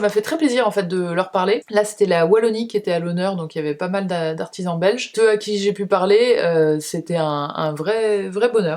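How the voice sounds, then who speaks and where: Her pitch medium and its variation ordinary, a woman talks at a fairly quick pace. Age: 30s. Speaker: beauty and lifestyle youtuber. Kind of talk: casual monthly favourites vlog. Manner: fast. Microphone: cheap camera-mounted mic with noise reduction.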